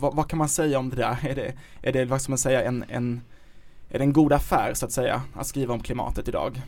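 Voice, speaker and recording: The man's intonation stays monotone and flat. He talks fairly quickly at a medium pitch. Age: 30s. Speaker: podcast host, journalist. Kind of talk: casual chat.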